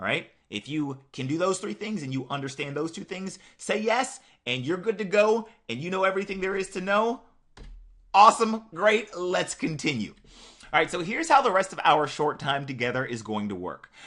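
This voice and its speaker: With an animated tone, a man speaks in a bright, sharp voice at a high pitch, his pitch swinging very widely. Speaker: online marketer. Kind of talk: sales pitch. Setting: webinar. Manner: fast.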